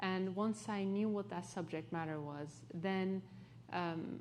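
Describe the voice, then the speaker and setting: In a Turkish accent, a woman speaks at a very slow pace with fairly low pitch and fairly even intonation, with audible room echo. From Turkey, partly raised in London. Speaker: author. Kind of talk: onstage interview.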